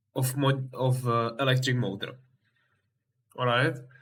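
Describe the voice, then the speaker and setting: A man with a non-native accent at medium pitch, monotone with flat intonation. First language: not English. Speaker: game vehicle builder. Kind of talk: game tutorial explanation. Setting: low-quality home microphone.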